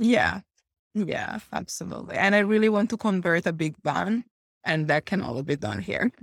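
Dry and close with no echo, a woman's voice sits at medium pitch with vocal fry. She moves at a moderate pace with ordinary pitch variation. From Italy. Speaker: brand and web designer. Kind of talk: casual chat.

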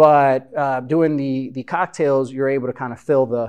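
Against a quiet background, a man with an American accent speaks in an ordinary speaking voice at a medium pitch, a fairly quick pace and with ordinary pitch variation. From Chicago. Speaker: barbershop business owner. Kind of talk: live interview before audience. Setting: meeting room with audience.

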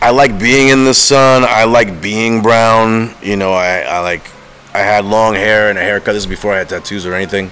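An animated man speaks at a moderate pace and fairly low pitch against noticeable background noise. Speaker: chef and artist. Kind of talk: casual banter interview. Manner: rambling, loud, animated.

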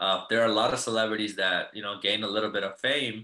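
Speaking at a fairly quick pace, a man with an American accent and a fairly low pitch uses a normal speaking voice. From US Midwest. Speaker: fitness coach. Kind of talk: casual interview.

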